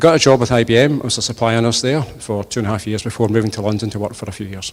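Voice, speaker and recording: A man's very fast speech with a west of Scotland accent, medium in pitch, with fairly even intonation. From Scotland, Inverclyde (Port Glasgow). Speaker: politician, election candidate. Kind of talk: campaign speech at hustings. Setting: church with audience.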